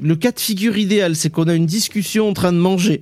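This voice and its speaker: Pitched high with ordinary pitch variation, a man speaks at a moderate pace. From southwestern France (Basque area). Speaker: podcast co-host. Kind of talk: casual chat.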